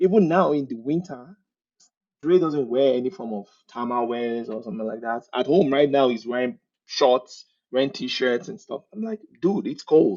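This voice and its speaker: Animated and lively in intonation, the speaker talks with a Nigerian accent at a moderate pace, with big swings in loudness. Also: man, fairly high pitch for a man. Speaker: technical recruiter, immigrant. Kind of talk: casual interview chat.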